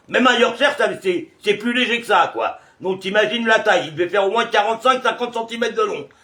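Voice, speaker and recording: Over noticeable background noise, a man with a high pitch talks at a fairly quick pace. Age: 60s. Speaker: video blogger. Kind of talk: casual chat. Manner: hesitant, many filler sounds.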